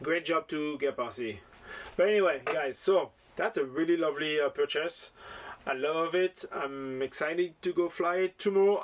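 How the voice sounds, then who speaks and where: A man with a French accent speaks at a moderate pace. His pitch is fairly high, with ordinary pitch variation. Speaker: FPV drone hobbyist YouTuber. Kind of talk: casual product unboxing vlog. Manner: enthusiastic, animated.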